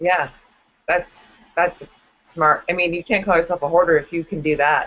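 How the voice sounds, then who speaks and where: A woman's fairly low voice with a slight Wisconsin accent, at a moderate pace and with fairly even intonation. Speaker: comedian. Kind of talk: casual chat. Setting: video call. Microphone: weak connection.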